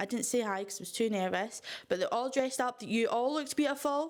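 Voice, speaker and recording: With a Scottish accent, the speaker sounds animated and uses lively intonation on a very clean recording with a silent background. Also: woman. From Scotland, Fife coast. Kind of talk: casual vlog chat.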